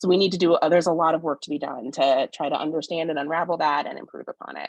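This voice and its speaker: Her pitch is very deep and low for a woman, and she speaks very fast with fairly even intonation. The sound is dry and close, with no echo. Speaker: sociologist and forum moderator. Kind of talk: community forum moderation.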